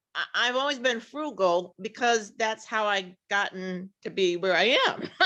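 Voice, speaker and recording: A woman's bright, sharp voice at a fairly slow pace, with ordinary pitch variation and a quiet background. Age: 60s. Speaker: audience member. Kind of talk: audience question. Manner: halting, hesitant.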